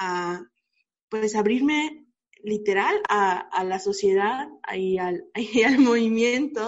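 The speaker goes at a very slow pace. Pitch varies in an ordinary way. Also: woman. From Mérida, Yucatán, Mexico. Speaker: law student, activist. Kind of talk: casual chat.

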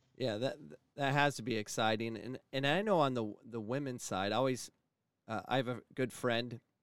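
A man's normal speaking voice with an American accent, at a moderate pace with fairly even intonation, in a very clean recording with a silent background. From Phoenix, Arizona. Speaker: college sports coach and podcast host. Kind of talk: podcast interview.

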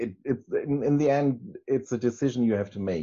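A man with a German accent and lively intonation. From northern Germany, Hamburg area. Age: 40s. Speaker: interviewee, church member. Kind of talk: testimony. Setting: video call. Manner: halting, many restarts.

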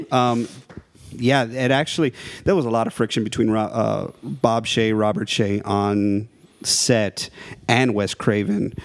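With an American accent, a man talks in a normal speaking voice at a fairly slow pace, his medium pitch showing ordinary variation. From South Texas, near the Mexican border. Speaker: horror movie enthusiast. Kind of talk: casual chat.

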